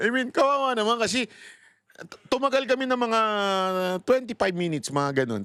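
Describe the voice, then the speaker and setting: This man's pitch moves through very wide swings. His tone is animated. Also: very clean recording, silent background. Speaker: political commentator. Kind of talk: casual storytelling commentary.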